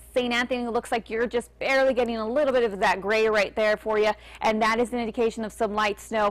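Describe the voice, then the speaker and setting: With an American accent, a woman talks very fast in a fairly high voice and an upbeat tone. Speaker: TV weather forecaster / meteorologist. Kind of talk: TV weather broadcast. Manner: clear, upbeat on-air delivery.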